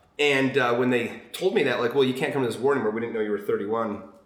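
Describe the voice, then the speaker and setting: A man talks with ordinary pitch variation, with audible room echo and noticeable background noise around him. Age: 40s. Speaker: podcast guest. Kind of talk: casual chat.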